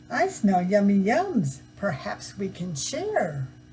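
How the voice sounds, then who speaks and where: Against clear background noise, a put-on character voice at a middle pitch is raised and projected, moving at a very slow pace. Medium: read story.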